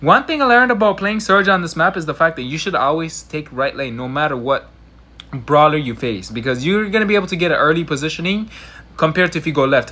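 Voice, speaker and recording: A man speaks at a very fast pace with lively intonation. His tone is bright and sharp. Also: fairly high pitch for a man. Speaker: gaming youtuber. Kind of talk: gameplay commentary. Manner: casual, slangy.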